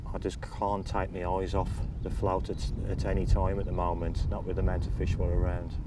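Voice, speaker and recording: A man speaks with a very deep, low pitch and lively intonation. Audible room echo and noticeable background noise surround him. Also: fairly quick pace. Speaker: carp angler. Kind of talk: fishing tutorial. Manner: soft-spoken.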